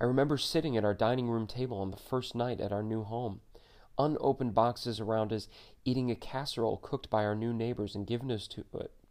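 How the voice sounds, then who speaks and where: Over a quiet background, a man with a plain, everyday voice talks at a fairly quick pace. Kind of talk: audiobook memoir narration.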